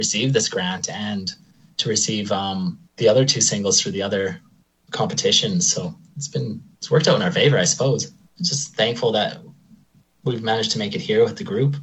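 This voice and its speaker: This man has an Albertan accent and a somewhat breathy, medium-pitched voice. He talks at a fairly quick pace with lively intonation. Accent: Canadian (Alberta). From Alberta, Canada (Lacombe). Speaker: drummer in a rock band, electrician. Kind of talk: interview.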